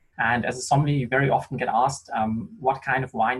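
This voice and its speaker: A man speaks at a fairly quick pace with a German accent, his voice medium in pitch and somewhat breathy. His pitch varies in an ordinary way. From Germany. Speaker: sommelier. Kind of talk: online wine tasting conversation.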